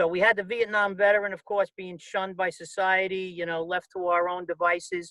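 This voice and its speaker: A man's high, bright, sharp voice, raised and projected, with an American accent, flat monotone intonation, a fairly quick pace and hardly any pauses. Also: dry, close sound with no echo. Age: 70s. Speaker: podcast host, Vietnam veteran. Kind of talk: interview.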